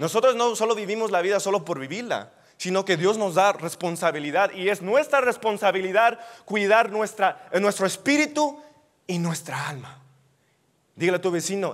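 The background is quiet. A man speaks at a high pitch. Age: 20s. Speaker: youth preacher. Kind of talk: sermon. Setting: church. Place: hall.

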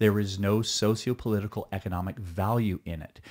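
The background is quiet as a man talks at a fairly quick pace. His voice is fairly low, his intonation fairly even. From Quebec, Canada. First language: Mohawk. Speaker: stuntman and actor. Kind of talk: podcast interview answer. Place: studio. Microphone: studio mic.

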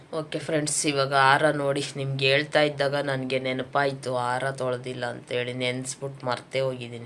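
Over noticeable background noise, a woman speaks at a very deep, low pitch with monotone, flat intonation. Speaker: home vlogger. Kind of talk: casual vlog talk.

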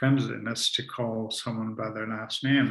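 A man speaks with vocal fry in a monotone, flat intonation. The background is quiet. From Canada, Ontario. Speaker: author and spiritual teacher; spiritual teacher. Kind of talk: conversational talk on spirituality. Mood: calm, reflective, warm. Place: home room.

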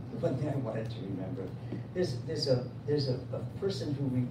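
Noticeable background noise accompanies a man talking at a fairly quick pace with ordinary pitch variation. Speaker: event moderator. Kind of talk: event introduction speech. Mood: warm, lightly humorous. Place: shop. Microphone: camera far.

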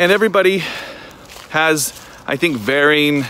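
A man speaks at a moderate pace in a fairly high pitch, with light background noise and a dry sound with no echo. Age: 30s. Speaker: vlogger and filmmaker; vlogger. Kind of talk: vlog monologue. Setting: outdoors on a trail. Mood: reflective, candid. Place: forest. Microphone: phone near.

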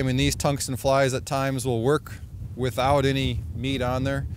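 A man speaks at a moderate pace. The sound is dry with no echo, though noticeable background noise is present. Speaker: fishing show host. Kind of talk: outdoor show commentary to camera. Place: open country. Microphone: lapel.

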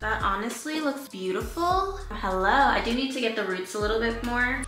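Over clear music and audible room echo, a voice with an American accent moves at a moderate pace with lively intonation. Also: woman. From New York. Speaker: beauty YouTuber. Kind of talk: casual talk to camera. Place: home room. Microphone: camera far.

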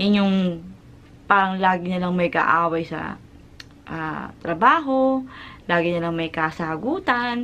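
A woman speaks at medium pitch with a bright, sharp tone and lively intonation. She goes at a very slow pace, with long, frequent pauses. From Philippines. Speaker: vlogger and overseas factory worker; overseas worker vlogger. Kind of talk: vlog talking to camera. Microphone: phone near.

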